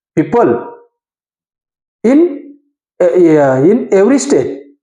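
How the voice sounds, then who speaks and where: The pace is very slow. Long pauses come frequently. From India, Konkani-speaking region. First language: Konkani. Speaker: English learner and video creator. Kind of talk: informal educational talk to camera. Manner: halting, with fillers and self-corrections.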